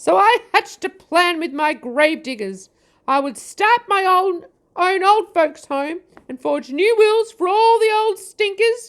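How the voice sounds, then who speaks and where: A woman performs a put-on character voice at an extremely high pitch. She speaks at a fairly slow pace with lively intonation. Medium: read story. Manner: sneering, bitter.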